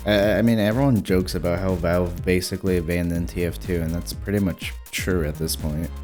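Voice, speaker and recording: Over music in the background, a man with a very deep, low voice speaks at a moderate pace with lively intonation. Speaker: gaming video creator. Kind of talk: casual video essay voiceover.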